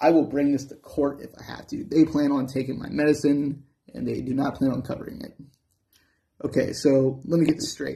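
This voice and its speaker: Against a quiet background, the voice moves at a fairly quick pace with vocal fry and monotone, flat intonation. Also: man, fairly high pitch for a man. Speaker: musician and channel owner with a metabolic disorder. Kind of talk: angry profane rant at social services over denied medicine. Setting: talking to camera in a room. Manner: heated and expletive-laden, swearing at the system; rambling and tangential, stumbling over words with many uh fillers. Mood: angry, defiant, threatening. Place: home room. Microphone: phone near.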